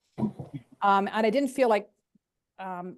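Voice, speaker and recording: A woman speaks in a Canadian accent with a fairly high pitch. Her pitch varies in an ordinary way. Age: 60s. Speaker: guest sharing recovery story. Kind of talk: podcast interview, personal testimony. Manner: hesitant, many fillers and repetitions.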